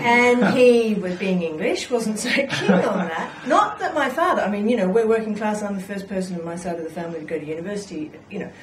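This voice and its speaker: With an English accent, a woman at medium pitch speaks at a fairly quick pace with hardly any pauses and lively intonation, amid audible room echo and noticeable background noise. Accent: non-Scottish, received English-sounding. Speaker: local politician. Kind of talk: casual interview.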